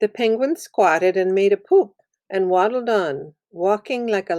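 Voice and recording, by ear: With a quiet background, a person reads aloud in a natural voice and ordinary pitch variation.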